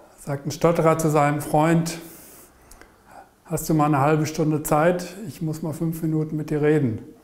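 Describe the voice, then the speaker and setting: With monotone, flat intonation, a man speaks at a moderate pace and fairly high pitch, leaving long, frequent pauses. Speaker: person who stutters, interviewee. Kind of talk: interview answer. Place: home room.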